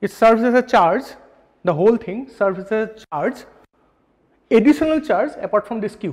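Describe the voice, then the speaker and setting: A man's high-pitched voice with lively intonation and long, frequent pauses, against a quiet background. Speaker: physics lecturer. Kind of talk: lecture. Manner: fast; halting. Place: classroom.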